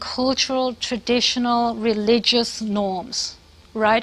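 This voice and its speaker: The woman's voice sits at a high pitch. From Britain. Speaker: professor. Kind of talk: lecture. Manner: halting, many fillers.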